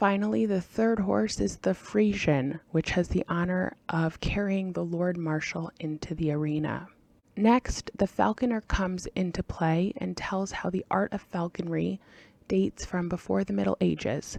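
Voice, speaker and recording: In a plain, everyday voice, a woman talks at a moderate pace with fairly low pitch and lively intonation, the sound dry and close with no echo. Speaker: language-learning video host. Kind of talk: relaxed ASMR-style explanation. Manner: soft-spoken, relaxed.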